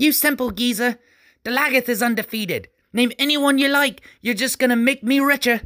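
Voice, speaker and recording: Shouting in a put-on character voice, the speaker goes at a fairly quick pace and fairly high pitch on a very clean recording with a silent background. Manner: screaming.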